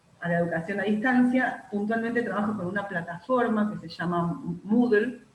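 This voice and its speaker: Against noticeable background noise and audible room echo, a woman speaks at a fairly slow pace with a medium pitch and ordinary pitch variation. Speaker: university lecturer. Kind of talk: online lecture workshop. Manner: many filler words.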